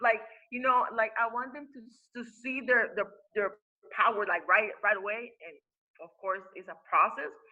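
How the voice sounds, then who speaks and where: A woman with a Spanish accent talks at a moderate pace and fairly high pitch, with ordinary pitch variation. Her loudness swings widely, and she leaves long, frequent pauses. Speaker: spiritual teacher and life coach. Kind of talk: interview. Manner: halting, many fillers and repetitions.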